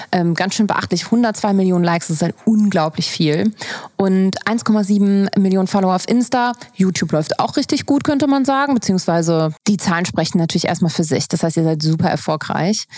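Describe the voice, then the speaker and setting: With a normal speaking voice, a woman talks at a moderate pace, her intonation lively and her loudness very even. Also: medium pitch for a woman. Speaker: podcast host. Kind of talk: interview with host intro.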